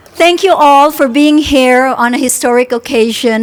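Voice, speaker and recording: Through noticeable background noise, a woman talks at a moderate pace with ordinary pitch variation. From Philippines and Singapore. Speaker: university president. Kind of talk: ceremony speech. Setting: outdoor tent at groundbreaking ceremony.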